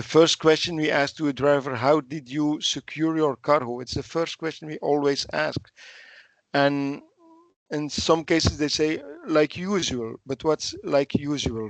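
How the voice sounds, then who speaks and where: The sound is dry and close with no echo as a man speaks fairly slowly in a fairly high pitch. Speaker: police officer. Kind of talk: webinar Q&A contribution. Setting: video call, camera off. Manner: halting.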